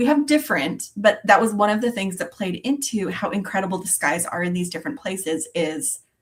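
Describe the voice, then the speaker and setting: An ordinary speaking voice from a woman with an American accent, medium in pitch with lively intonation, at a fairly quick pace. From Arizona. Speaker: beading livestream host. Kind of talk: casual chat. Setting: livestream.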